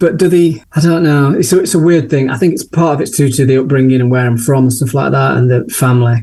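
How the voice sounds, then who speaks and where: A man with a Yorkshire accent talks at a very fast pace with hardly any pauses and ordinary pitch variation. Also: medium pitch for a man. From Sheffield, northern England. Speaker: portrait photographer. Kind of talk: interview conversation.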